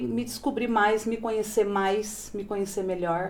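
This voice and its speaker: Fairly slow and with a dark, mellow tone, a woman speaks at a fairly high pitch. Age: 40s. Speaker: manicure and plus-size model. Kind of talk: casual interview. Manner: animated.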